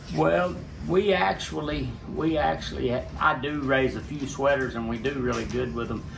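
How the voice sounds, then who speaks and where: Audible room echo and noticeable background noise surround a speaker with an American accent whose pitch swings very widely at a moderate pace. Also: man, medium pitch for a man. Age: 60s. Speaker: gamefowl breeder. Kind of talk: interview. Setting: on a farm.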